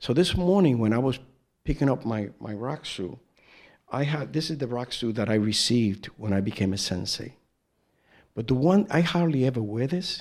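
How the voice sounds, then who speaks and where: With an American accent and a normal speaking voice, a man talks at a moderate pace and medium pitch with lively intonation. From New York, the Bronx. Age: 60s. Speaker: Zen teacher. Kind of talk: dharma talk.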